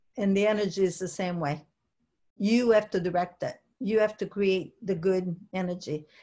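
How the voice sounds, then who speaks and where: With a dark, mellow tone that is somewhat breathy, a woman speaks at a medium pitch and a moderate pace with fairly even intonation. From Italy. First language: Italian. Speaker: business coach. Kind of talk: webinar presentation.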